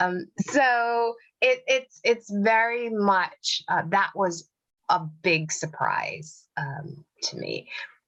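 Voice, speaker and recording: Speaking very slowly with an American accent, a woman uses lively intonation at medium pitch. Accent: Midwest accent, she doesn't hear it. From US Midwest, Detroit. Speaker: psychologist and life coach, author. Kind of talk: interview.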